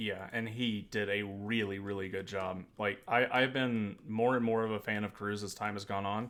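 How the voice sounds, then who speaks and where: A man with an American accent speaks in a fairly low, monotone, flat voice with hardly any pauses. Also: moderate pace. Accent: Southern accent, toned down when online. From US South. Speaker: podcast co-host. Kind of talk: casual political chat.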